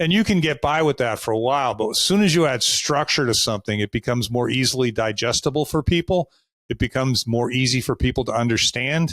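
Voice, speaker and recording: A man with a Boston accent talks at a very fast pace in a medium pitch with ordinary pitch variation and very even loudness. The recording is very clean, with a silent background and a dry, close sound with no echo. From US Northeast, Boston. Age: 60s. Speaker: sales coach. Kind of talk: podcast interview.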